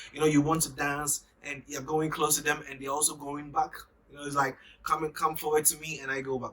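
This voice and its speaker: This man's voice sits fairly high and moves at a fairly quick pace. His loudness swings a lot, over noticeable background noise. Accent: Ghanaian. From Ghana. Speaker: YouTuber. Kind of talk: casual vlog monologue. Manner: animated.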